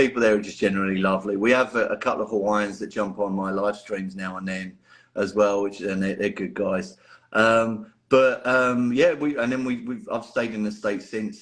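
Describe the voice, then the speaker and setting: In a strong London accent, the speaker moves at a moderate pace with ordinary pitch variation against a quiet background. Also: man. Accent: London accent, still strong. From North London, England. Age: 40s. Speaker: miniature painter. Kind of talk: podcast interview. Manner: casual, many repetitions.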